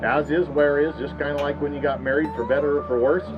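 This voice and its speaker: The speech comes at a very fast pace with ordinary pitch variation. Music plays in the background. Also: man. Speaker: auctioneer. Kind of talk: auction opening announcement to a crowd. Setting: outdoors, live farm auction.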